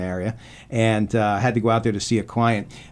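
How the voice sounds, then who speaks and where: A man's voice at medium pitch. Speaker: radio host.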